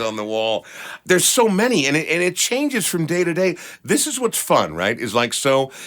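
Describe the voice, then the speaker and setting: High pitch from a man, with very wide pitch swings at a moderate pace, over noticeable background noise. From Minneapolis. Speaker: radio host. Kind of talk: interview answer.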